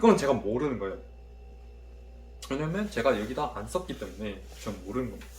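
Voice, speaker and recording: This man talks at a fairly quick pace. Audible room echo surrounds his voice. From Korea, Daegu. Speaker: university student vlogger. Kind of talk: study vlog, self-review of notes. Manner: casual, thinking aloud.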